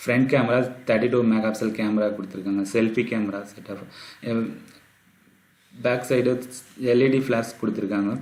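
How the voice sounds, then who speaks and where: A soft-spoken man at a medium pitch, monotone with flat intonation. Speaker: tech YouTuber. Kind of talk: phone review talk to camera.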